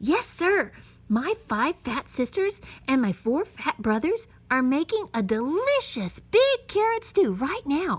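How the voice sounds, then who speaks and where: Very wide pitch swings mark a woman's put-on character voice, which is high-pitched and fairly slow. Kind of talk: bedtime story. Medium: read story.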